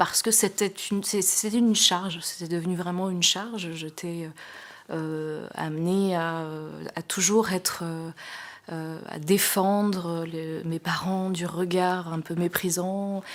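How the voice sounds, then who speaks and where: A woman speaks very slowly at a fairly low pitch, her intonation monotone and flat. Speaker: sign language interpreter. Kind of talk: testimony. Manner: halting, many hesitations.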